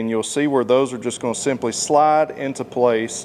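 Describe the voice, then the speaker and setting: A man with a Southern US accent, medium pitch and a moderate pace. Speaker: motorcycle accessory installer and reviewer. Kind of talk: tutorial. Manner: casual, uses many fillers.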